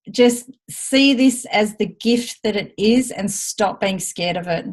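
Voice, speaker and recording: A somewhat breathy female voice. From Australia. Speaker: team leader in direct sales. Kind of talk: team training call. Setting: video call. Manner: animated.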